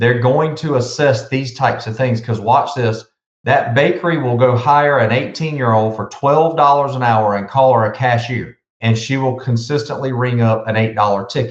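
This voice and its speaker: With a Southern US accent, a man talks at a moderate pace in a somewhat breathy voice. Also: medium pitch for a man. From South Carolina. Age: 50s. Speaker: business consultant. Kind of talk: podcast interview. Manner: animated.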